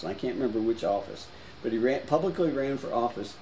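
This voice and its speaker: With noticeable background noise behind him, a man speaks at a medium pitch with ordinary pitch variation. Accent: American. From US South, New Orleans. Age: 70s. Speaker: painter. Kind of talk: casual chat.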